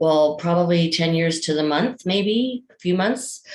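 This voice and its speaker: A woman speaks with a Canadian accent. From Alberta, Canada. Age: 60s. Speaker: patient advocate. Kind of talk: testimony. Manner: halting, many fillers.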